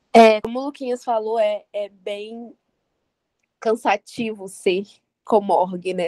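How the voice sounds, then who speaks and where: A woman speaks at a fairly slow pace with fairly even intonation and a medium pitch. Her tone is dark and mellow, and the sound is dry and close with no echo. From Vitória, Espírito Santo, Brazil. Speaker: student organizer. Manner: halting.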